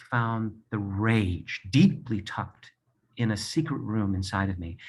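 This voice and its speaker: A somewhat breathy male voice. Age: 60s. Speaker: Broadway performer and author. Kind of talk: personal testimony speech. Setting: video from his apartment.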